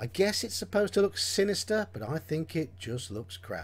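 At a moderate pace, a man talks in a somewhat breathy voice with very wide pitch swings. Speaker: game reviewer. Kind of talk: review commentary. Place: home room. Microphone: webcam.

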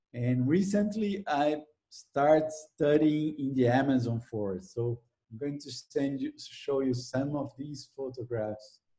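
A man with a Brazilian accent, somewhat breathy, with a dark, mellow tone, a fairly slow pace, ordinary pitch variation and a quiet background. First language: Portuguese. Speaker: ecology professor. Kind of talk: interview. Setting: video call. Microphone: video call.

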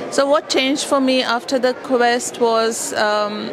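Noticeable background noise sits behind a woman's high-pitched voice with fairly even intonation. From India. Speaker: customer testimonial speaker; speaker. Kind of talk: testimony. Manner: halting. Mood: reflective, earnest. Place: hall. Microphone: handheld.

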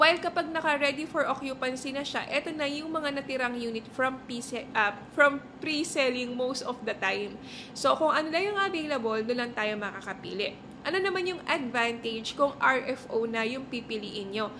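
A woman's high-pitched, raised, projected voice moves at a moderate pace with hardly any pauses. Her tone is animated and her intonation lively, over light background noise. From Philippines. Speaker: real estate agent. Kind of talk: tutorial. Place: home room. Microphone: phone near.

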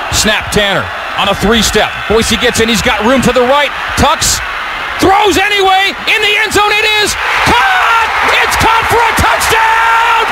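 A man at a fairly slow pace over loud background noise. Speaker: football game broadcaster. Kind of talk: live football play-by-play call. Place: booth.

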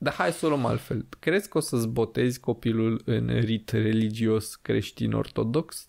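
A man at a fairly slow pace, with hardly any pauses, very even loudness and ordinary pitch variation, over a quiet background. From Romania. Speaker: podcast host. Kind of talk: casual chat. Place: studio. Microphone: studio mic.

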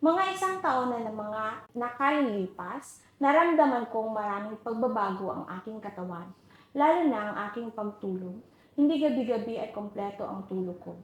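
At a moderate pace, a woman talks in a fairly high pitch with lively intonation and big swings in loudness, with noticeable background noise behind her. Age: 40s. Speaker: homemaker giving product testimonial. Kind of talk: testimonial.

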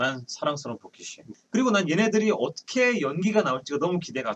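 Speaking at a very fast pace, a man uses a high pitch with very wide pitch swings and big swings in loudness. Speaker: voice actor. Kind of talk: casual talk show chat. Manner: playful, energetic.

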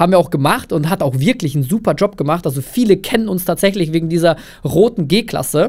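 A man's high-pitched, lively voice at a very fast pace against a quiet background. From Russia/Kazakhstan, moved to Germany at eight. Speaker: agency founder, filmmaker; podcast guest. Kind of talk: casual interview chat. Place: studio. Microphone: studio mic.

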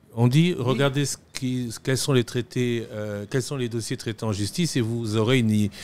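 A man speaks in a normal speaking voice at medium pitch and a moderate pace, on a very clean recording with a silent background. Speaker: TV magazine host. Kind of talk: interview. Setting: studio.

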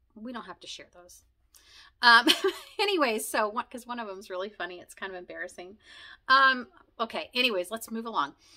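The background is quiet. A woman talks with lively intonation in a bright, sharp tone. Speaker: video blogger sharing conversion story. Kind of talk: casual monologue, personal storytelling. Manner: fast, talkative; rambling with many fillers. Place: home room.

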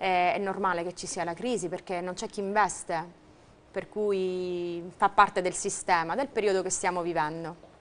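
A woman has an unremarkable speaking voice at medium pitch. She talks at a moderate pace with fairly even intonation. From Sicily. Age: 30s. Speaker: volleyball player; interviewee. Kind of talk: TV interview. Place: studio. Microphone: lapel.

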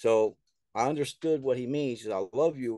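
Over a quiet background, a man with an American accent talks at a fairly quick pace with lively intonation and a dark, mellow tone, the sound dry with no echo. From US South. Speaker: author and filmmaker. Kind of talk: casual interview. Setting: remote call. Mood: earnest, somewhat aggrieved. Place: home room. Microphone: video call.

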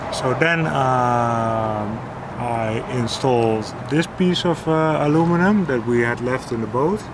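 Loud background noise surrounds a man who speaks with ordinary pitch variation. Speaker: sailing vlogger. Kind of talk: casual explanation of boat work. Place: boat.

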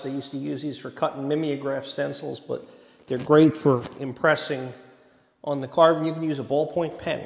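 Male voice, moderate in pace. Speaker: presenter. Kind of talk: lecture. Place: hall. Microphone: handheld.

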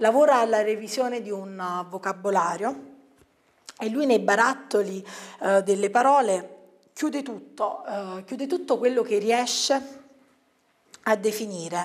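A woman's fairly high voice at a fairly slow pace, lively in intonation, with long, frequent pauses against a quiet background. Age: young. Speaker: book reviewer. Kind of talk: book review monologue. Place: studio.

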